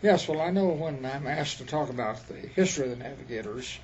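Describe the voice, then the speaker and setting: A man with a fairly high pitch talks at a fairly quick pace with ordinary pitch variation, amid audible room echo and noticeable background noise. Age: 90s. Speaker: retired missionary. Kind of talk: interview.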